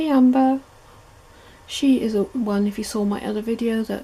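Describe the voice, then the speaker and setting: Soft-spoken delivery with fairly even intonation. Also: woman. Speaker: pet video creator. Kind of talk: guided tour video. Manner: casual with fillers.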